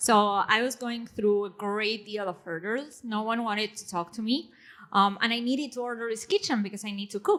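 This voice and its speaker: A woman with a non-native accent talks fairly quickly at a fairly high pitch. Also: ordinary pitch variation. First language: not English. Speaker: panelist, technologist and writer. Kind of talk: panel discussion. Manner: hesitant, many fillers.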